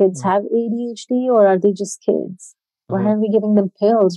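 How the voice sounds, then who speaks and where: With an ordinary speaking voice, a woman talks at a moderate pace and fairly even intonation. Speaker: podcast host. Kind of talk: casual interview chat.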